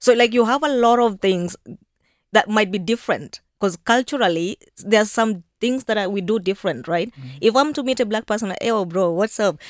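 A woman with a Kenyan accent, lively intonation and a fairly quick pace, in a dry, close, very clean recording with a silent background and no echo. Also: fairly high pitch for a woman. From rural Kenya. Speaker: LGBTQ advocate and journalist. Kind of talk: radio interview. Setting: radio studio.

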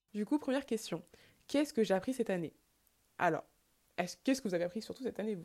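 In a dark, mellow tone, a woman speaks with ordinary pitch variation. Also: very clean recording, silent background. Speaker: podcast host. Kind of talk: solo reflective talk. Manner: fast; halting.

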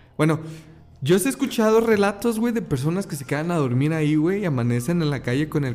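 Fairly high in pitch, a man talks at a fairly quick pace. His pitch swings very widely. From Mexico. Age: 20s. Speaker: podcast host. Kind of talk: casual chat.

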